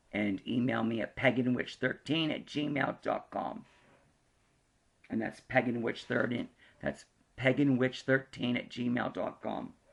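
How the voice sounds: In a put-on character voice, a hoarse man at medium pitch speaks at a fairly slow pace with long, frequent pauses.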